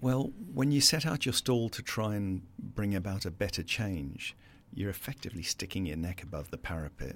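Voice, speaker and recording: With a South African accent, a man speaks at a fairly low pitch with lively intonation. The recording is very clean, with a silent background. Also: moderate pace. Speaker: business founder. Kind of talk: interview. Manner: confident, passionate.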